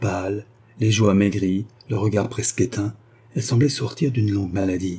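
Fairly even intonation marks this unforced reading voice.

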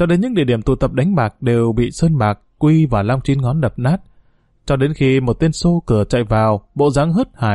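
Lively intonation marks this plain reading aloud.

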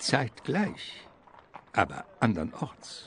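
The voice carries vocal fry. It also has a slightly husky edge. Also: man.

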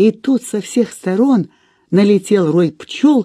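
Quiet background behind a natural reading voice

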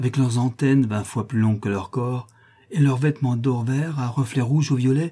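Reading in a natural voice

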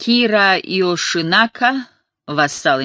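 Reading aloud in a natural voice with lively intonation, the speaker is heard over a quiet background.

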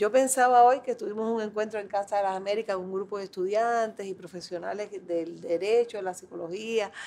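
Over a quiet background, a woman at medium pitch with a dark, mellow tone talks at a fairly quick pace with fairly even intonation. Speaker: family law specialist. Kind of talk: meeting speech.

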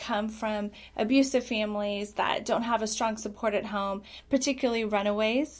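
A woman in an ordinary speaking voice talks at a fairly slow pace and fairly high pitch with fairly even intonation, on a very clean recording with a silent background. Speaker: pastor and anti-trafficking activist. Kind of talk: interview. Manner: measured, fills with ums.

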